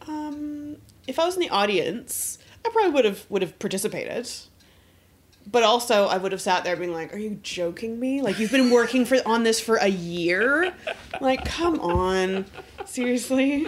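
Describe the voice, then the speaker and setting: A woman talks at a fairly high pitch with very wide pitch swings. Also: moderate pace. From Canada. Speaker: podcast guest, film podcaster. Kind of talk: casual chat. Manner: using a polished radio voice.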